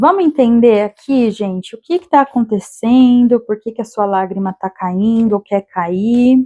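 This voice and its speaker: A woman with a fairly high pitch, a dark, mellow tone and ordinary pitch variation is heard in a dry, close sound with no echo. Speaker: tarot reader. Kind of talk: tarot reading monologue.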